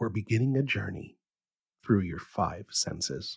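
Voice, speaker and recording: A man talks at a fairly slow pace in a calm, soothing tone that is somewhat breathy. The sound is dry and close, with no echo. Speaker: bedtime science podcast host. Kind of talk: sleep story. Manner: calm, soothing, slow.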